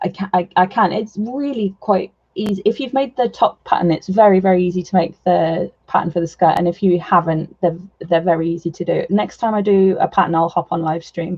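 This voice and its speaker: A woman speaks in a medium pitch. Her voice is somewhat breathy. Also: ordinary pitch variation, fairly quick pace, hardly any pauses. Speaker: doll artist livestreamer. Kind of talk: casual livestream chat while sewing. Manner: halting, repeats words.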